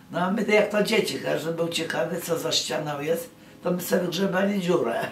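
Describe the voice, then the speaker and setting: Over light background noise and audible room echo, the speaker talks at a fairly quick pace with ordinary pitch variation. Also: woman, fairly low pitch for a woman. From Nowy Korczyn, southern Poland. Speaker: wartime witness. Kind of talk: interview answer. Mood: wistful, earnest. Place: home room. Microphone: phone near.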